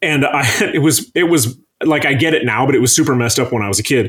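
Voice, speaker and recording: A man speaks with an Upper Midwest accent. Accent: Upper Midwest American. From northern Michigan. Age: 40s. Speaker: chef. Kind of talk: casual chat.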